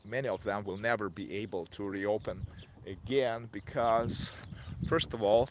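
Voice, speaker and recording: A man's fairly low voice in a Russian accent, at a moderate pace with ordinary pitch variation. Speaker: online seller and vlogger. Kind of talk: vlog monologue. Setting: outdoors, walking in a residential yard. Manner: halting, many fillers.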